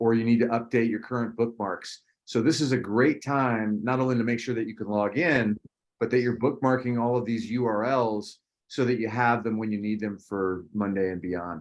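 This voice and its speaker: Using a normal speaking voice, a man talks at a moderate pace with medium pitch and fairly even intonation. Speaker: teacher. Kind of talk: online class orientation.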